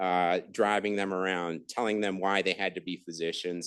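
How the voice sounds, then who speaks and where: Moderate-paced speech from a man, the background quiet. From Thailand, India and Washington DC (childhood abroad). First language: Thai. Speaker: surgeon. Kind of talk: lecture. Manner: halting, many fillers.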